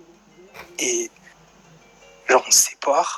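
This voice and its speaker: A soft-spoken man talks with music in the background. The sound is dry and close, with no echo. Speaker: live stream caller telling a personal story. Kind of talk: casual chat.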